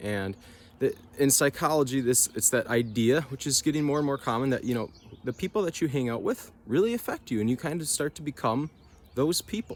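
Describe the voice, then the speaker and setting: A man at a fairly quick pace with very wide pitch swings, on a very clean recording with a silent background. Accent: northern US. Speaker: nature vlogger. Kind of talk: casual reflective vlog talk. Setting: outdoors.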